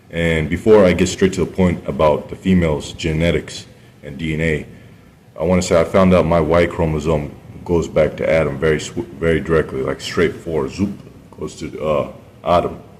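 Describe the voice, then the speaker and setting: A man speaks at a moderate pace in a very deep, low voice with fairly even intonation. Noticeable background noise runs underneath. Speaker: video blogger. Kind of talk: casual monologue. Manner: halting.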